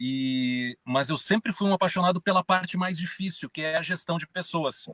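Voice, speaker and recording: A man with a southern Brazilian accent, high pitch, moderate pace, and a dry, close sound with no echo. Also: ordinary pitch variation. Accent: gaúcho. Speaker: journalist and business consultant. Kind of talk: live stream interview. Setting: in his car.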